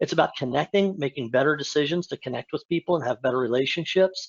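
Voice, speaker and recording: A man with a fairly high voice speaks fairly quickly, his pitch varying in an ordinary way. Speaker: analytics consultant. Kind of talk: webinar presentation. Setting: webinar. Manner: fast.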